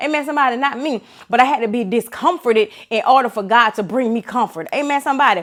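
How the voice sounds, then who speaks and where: In a very clean recording with a silent background, a woman talks at a very fast pace, her tone animated, her pitch high and her intonation lively. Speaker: motivational speaker, former law enforcement officer. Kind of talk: inspirational talk.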